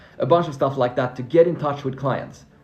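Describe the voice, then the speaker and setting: A man speaks with ordinary pitch variation over noticeable background noise. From Finland (Swedish-speaking). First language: Swedish. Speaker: freelancing coach. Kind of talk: live stream Q&A. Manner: animated.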